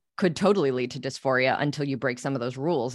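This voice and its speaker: The speech runs at a very fast pace against a quiet background. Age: 30s. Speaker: podcast host. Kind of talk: casual interview.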